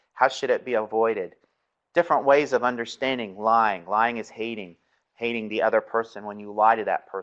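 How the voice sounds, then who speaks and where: An unremarkable speaking voice from a man at medium pitch, fairly quick, with ordinary pitch variation and big swings in loudness. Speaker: seminary professor. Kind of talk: lecture.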